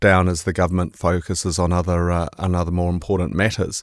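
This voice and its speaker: In a New Zealand accent, a man speaks at a fairly quick pace with a very deep, low pitch, the sound dry and close with no echo on a very clean recording with a silent background. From New Zealand, Bay of Plenty. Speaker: investment manager. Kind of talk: podcast discussion. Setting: studio.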